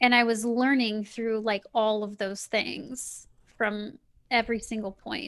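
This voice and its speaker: At a fairly slow pace, a woman talks in a fairly high pitch with monotone, flat intonation. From US Midwest (Kansas City). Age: 30s. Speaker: spiritual coach and author. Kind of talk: casual interview.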